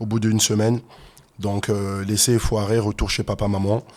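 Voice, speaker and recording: At a very fast pace, a man talks in a dark, mellow tone on a very clean recording with a silent background. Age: 30s. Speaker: fitness and MMA coach. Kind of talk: interview, personal story. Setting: podcast studio.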